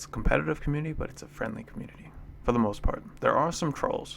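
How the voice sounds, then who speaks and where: A man speaks at a very fast pace. His loudness swings widely. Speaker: go player and streamer. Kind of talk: game commentary. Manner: upspeak; casual, laughing at own jokes.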